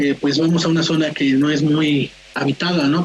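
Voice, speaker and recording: A woman's very deep, low voice at a moderate pace with fairly even intonation and noticeable background noise. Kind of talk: telling a personal paranormal story. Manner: casual, conversational.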